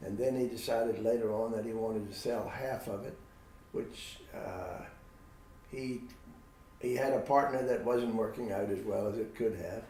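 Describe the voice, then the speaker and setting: Amid noticeable background noise and audible room echo, a man speaks at a moderate pace with long, frequent pauses. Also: medium pitch for a man, fairly even intonation. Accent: American. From Virginia, US. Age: 80s+. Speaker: veterinarian. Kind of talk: interview.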